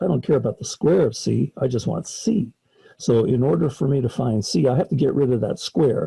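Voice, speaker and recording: A man at medium pitch speaks with a dark, mellow tone, vocal fry, lively intonation and very even loudness, the sound dry and close with no echo. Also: moderate pace. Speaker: college math professor. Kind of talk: lecture.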